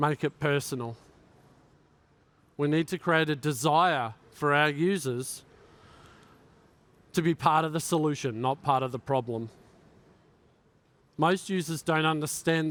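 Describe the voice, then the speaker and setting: A man with an Australian accent speaks at a moderate pace in a fairly high pitch. The sound is dry and close with no echo, a very clean recording with a silent background. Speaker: tech executive giving a keynote. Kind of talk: keynote speech.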